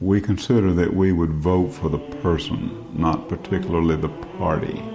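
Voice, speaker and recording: A man with an American accent speaks at a moderate pace in a very deep, low pitch with ordinary pitch variation and very even loudness. Music plays in the background, and audible room echo is present. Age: 60s. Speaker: political video blogger. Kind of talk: political commentary monologue.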